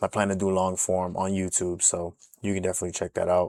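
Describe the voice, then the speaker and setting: In an American accent, a man with a very deep, low pitch talks at a fairly quick pace in a monotone, flat intonation, the sound dry and close with no echo. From US South. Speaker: music producer. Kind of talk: tutorial. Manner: casual, with frequent fillers.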